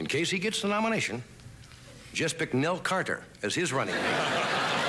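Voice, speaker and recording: A man's high-pitched, lively voice at a moderate pace and very even loudness, against noticeable background noise. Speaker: late-night talk show host. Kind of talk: comedy monologue. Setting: TV studio with live audience.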